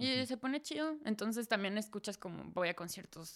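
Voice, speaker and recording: This woman speaks in a central Mexican accent. Her pace is fairly quick, and her pitch is medium. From Mexico, Celaya. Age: 20s. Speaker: podcast guest, expat. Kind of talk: casual chat.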